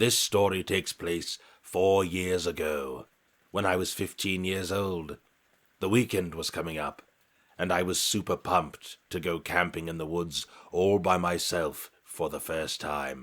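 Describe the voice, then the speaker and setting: Using a put-on character voice, a man speaks very deep and low at a moderate pace. The recording is very clean, with a silent background. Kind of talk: horror narration. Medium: read story. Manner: measured, suspenseful.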